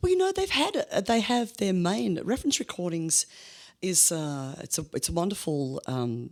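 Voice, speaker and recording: A woman speaks at a fairly low pitch with very wide pitch swings. The recording is very clean, with a silent background. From Australia, Melbourne. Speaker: blues musician. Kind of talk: interview. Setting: studio.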